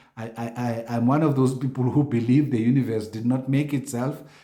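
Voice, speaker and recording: A man talking at a fairly quick pace amid audible room echo. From South Africa. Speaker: news commentator. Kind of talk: casual commentary reading social media posts. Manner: animated.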